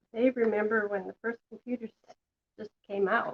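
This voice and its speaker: At a fairly slow pace, a woman talks with fairly high pitch, the sound dry and close with no echo. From western Canada. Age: 60s. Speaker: craft tutorial host. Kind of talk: live craft tutorial. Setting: home kitchen, live stream. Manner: casual, chatty.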